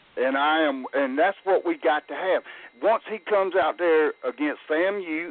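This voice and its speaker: A man with a high voice talks at a medium speed, his pitch moving in a normal way. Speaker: caller, football fan. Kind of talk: call-in sports talk. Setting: phone call.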